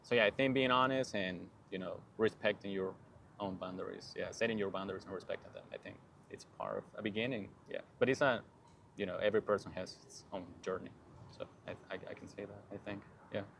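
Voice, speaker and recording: Speaking at a very fast pace in a Spanish accent, a man makes big swings in loudness and takes long, frequent pauses. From Peru. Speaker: PhD student, plant biologist. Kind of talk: podcast interview. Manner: halting.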